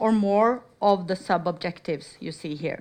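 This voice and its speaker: At a moderate pace, a woman speaks with ordinary pitch variation against a quiet background. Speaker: research funding officer. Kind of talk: conference presentation. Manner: loud.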